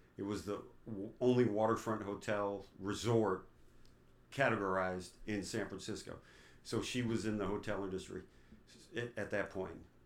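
A man with an American accent talks at a moderate pace in a fairly low, monotone, flat voice. Long, frequent pauses break up his speech, and the room echo is audible. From New York. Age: 50s. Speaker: father of the host. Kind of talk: interview. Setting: home.

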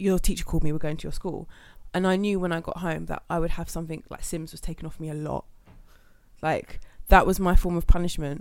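Someone with a London accent talks at a very fast pace with monotone, flat intonation and big swings in loudness, in a very clean recording with a silent background. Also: woman, fairly low pitch for a woman. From London, England. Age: 20s. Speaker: podcast host. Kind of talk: casual chat.

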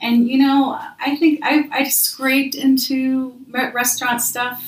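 Over noticeable background noise, a woman with a high pitch and an American accent speaks at a fairly slow pace. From Minnesota / St. Louis, US Midwest. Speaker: podcast host. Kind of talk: casual interview chat.

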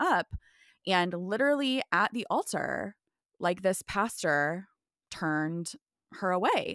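An unremarkable speaking voice from a woman with an American accent, medium pitch and lively intonation, on a very clean recording with a silent background and a dry, close sound with no echo. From US Midwest. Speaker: pastor and author. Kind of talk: casual chat.

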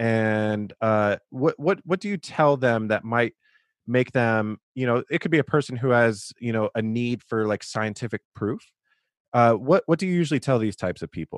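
A normal speaking voice from a man, medium in pitch, with ordinary pitch variation, a moderate pace and a quiet background. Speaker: podcast host. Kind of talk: casual interview, intro monologue.

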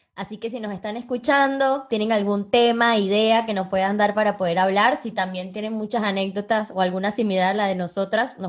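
A woman with an unremarkable speaking voice, moderate pace, and ordinary pitch variation. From Venezuela. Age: 20s. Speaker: event planner and podcast co-host. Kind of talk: casual chat.

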